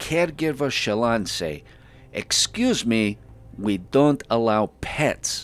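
The speaker uses an unforced reading voice. The delivery stays unforced throughout.

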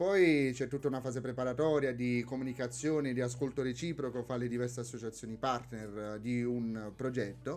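With an unremarkable speaking voice, a man talks at a medium pitch and moderate pace, his intonation fairly even and hardly any pauses. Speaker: university student and Erasmus project volunteer. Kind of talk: casual radio interview. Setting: radio studio.

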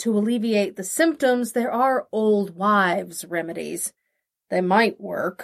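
Quiet fills the background. Over it, someone reads aloud plainly.

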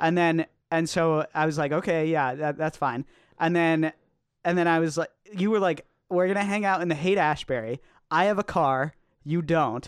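A man speaks at a moderate pace with a high pitch and very even loudness. The sound is dry and close, with no echo. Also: ordinary pitch variation. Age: 20s. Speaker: podcast co-host. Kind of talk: casual chat. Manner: halting.

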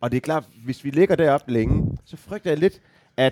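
In an ordinary speaking voice, a man talks at a moderate pace with lively intonation, the sound dry and close with no echo. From Denmark, Aarhus. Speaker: football fan guest. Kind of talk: casual chat.

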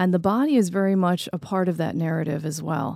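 A woman's dark, mellow voice, fairly low in pitch, on a very clean recording with a silent background. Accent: American. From New York and New Jersey. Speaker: playwright and educator. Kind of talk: interview.

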